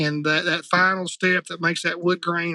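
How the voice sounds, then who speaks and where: Speaking with a Southern US accent, a man has a high-pitched voice with a bright, sharp tone. His intonation is monotone and flat at a moderate pace, and the sound is dry and close with no echo. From Arkansas. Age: 50s. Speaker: retriever trainer. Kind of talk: casual chat.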